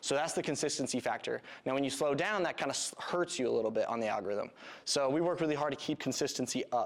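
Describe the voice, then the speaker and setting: A man with an American accent talks at a fairly quick pace in a normal speaking voice. His pitch is medium, with ordinary pitch variation. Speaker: video production business owner. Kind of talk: presentation to business audience. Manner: casual, many filler words.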